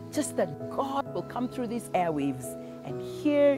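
A woman talking at a fairly slow pace over clear background music. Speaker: minister. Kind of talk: sermon and prayer. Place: garden.

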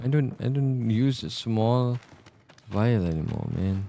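In a Malaysian accent, a man speaks at a very slow pace, and the sound is dry with no echo. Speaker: gaming streamer. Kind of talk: let's play commentary. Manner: animated. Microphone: studio mic.

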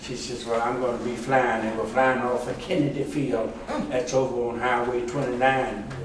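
Noticeable background noise and audible room echo surround a man at medium pitch. He speaks at a moderate pace with fairly even intonation. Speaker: war veteran and retired pilot. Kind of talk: ceremonial speech. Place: meeting room. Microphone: camera far.

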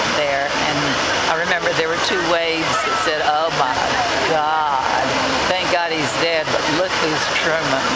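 The speaker goes at a fairly slow pace over loud background noise. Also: woman. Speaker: WWII Navy veteran (WAVES). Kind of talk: personal war memories, casual recollection. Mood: lively, amused storytelling. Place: street. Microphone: phone near.

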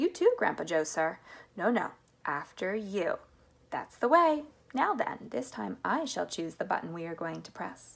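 A woman puts on a character voice, fairly low in pitch, with vocal fry and a slightly husky edge. She moves at a fairly slow pace, her pitch swinging widely.

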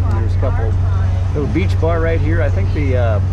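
A man speaks over loud background noise. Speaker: boat skipper vlogger. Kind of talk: casual vlog chat. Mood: relaxed, cheerful. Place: boat. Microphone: phone near.

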